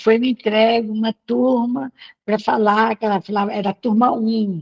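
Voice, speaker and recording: A woman speaks at a moderate pace and medium pitch, somewhat breathy, in a dry, close sound with no echo. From Brazil, northern Minas Gerais (Pedra Azul, Jequitinhonha Valley). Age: 70s. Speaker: spiritist movement leader. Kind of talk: interview, personal life story. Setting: video call.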